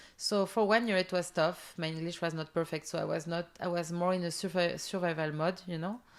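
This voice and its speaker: This voice moves at a fairly quick pace with a French accent and fairly even intonation. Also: woman. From southern France. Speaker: entrepreneur. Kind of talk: interview. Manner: halting.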